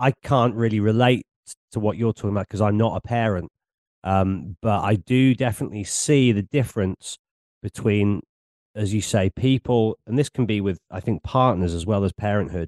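Against a quiet background, a man speaks in a fairly low voice at a moderate pace. His pitch varies in an ordinary way. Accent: English. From England. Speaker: podcast host and DJ. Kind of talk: casual interview chat. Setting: video call.

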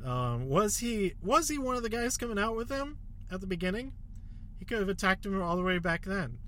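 Audible room echo surrounds a man speaking at a high pitch with very wide pitch swings. His tone is bright and sharp, his pace fairly quick. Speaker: wrestling podcast host. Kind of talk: casual solo commentary. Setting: in a car. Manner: filler-heavy, repetitive.

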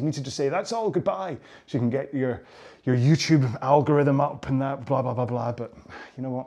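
Over a quiet background, a man talks at a very fast pace with a medium pitch and a dark, mellow tone. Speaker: rowing coach. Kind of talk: workout instruction. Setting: on a rowing machine.

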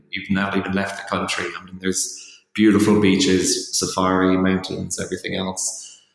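A man speaks at a moderate pace in an Irish accent. Music plays in the background, and the room echo is audible. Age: 30s. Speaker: freelance ghostwriter. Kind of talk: interview.

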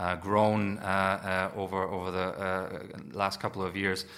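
A man's very deep, low voice with a bright, sharp tone on a very clean recording with a silent background. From Germany. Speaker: defence analyst. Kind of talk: interview. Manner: halting.

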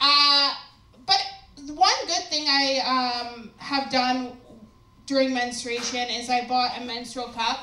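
At a very slow pace with long, frequent pauses, a woman projects a raised, high voice with ordinary pitch variation. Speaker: stand-up comedian. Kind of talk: stand-up comedy set. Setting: stage with audience. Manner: profane, sassy, self-mocking.

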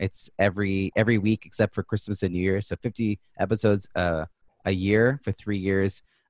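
A man with an American accent speaks in a flat monotone at a moderate pace and fairly low pitch, the sound dry and close with no echo and the background quiet. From New York. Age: 40s. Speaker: business strategist and keynote speaker. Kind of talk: podcast interview.

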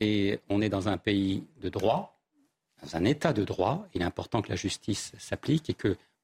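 The sound is dry and close with no echo, the recording very clean over a silent background, and the voice somewhat breathy. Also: man. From eastern Paris. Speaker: insurer and entrepreneur. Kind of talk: televised debate.

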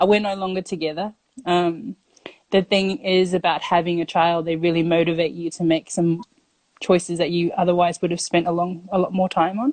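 With an Australian accent, the speaker keeps a moderate pace and fairly even intonation in a dry, close sound with no echo. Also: woman, fairly low pitch for a woman. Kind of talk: storytelling.

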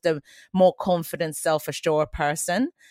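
A woman at a moderate pace with fairly even intonation, dry and close with no echo, on a very clean recording with a silent background. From Sweden. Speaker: hip-hop choreographer and dance teacher. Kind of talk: interview.

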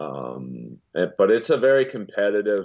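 A man is speaking. His pitch is fairly low. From US West Coast, Los Angeles. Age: 50s. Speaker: comedian and voiceover actor. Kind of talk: casual chat.

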